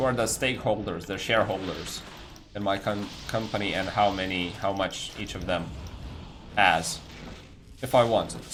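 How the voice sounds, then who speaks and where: With a non-native accent, a man talks at a moderate pace in a fairly low pitch, with audible room echo. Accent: non-native English speaker. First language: non-English. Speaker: video game streamer. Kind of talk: live stream chat while gaming. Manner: casual, hesitant with repetitions.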